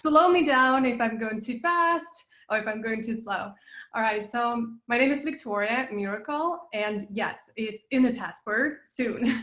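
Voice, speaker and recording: A woman's high-pitched, bright, sharp voice with a Russian accent, ordinary pitch variation and a fairly slow pace. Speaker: business coach, passive income expert. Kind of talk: interview. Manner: animated.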